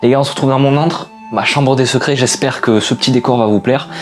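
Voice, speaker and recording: A man's voice with music in the background. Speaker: YouTuber. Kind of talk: video essay monologue. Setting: bedroom. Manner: casual, with hesitations.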